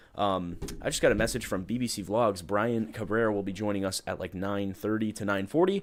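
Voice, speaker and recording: The recording is very clean, with a silent background. A man with an unremarkable speaking voice talks at a fairly quick pace, his fairly low pitch varying in an ordinary way. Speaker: livestream podcast host. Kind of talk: casual live stream chat. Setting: live stream.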